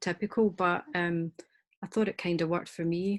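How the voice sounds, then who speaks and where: Recorded dry and close with no echo against a quiet background, a woman with a Scottish accent speaks at a medium pitch with fairly even intonation. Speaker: author. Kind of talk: panel discussion.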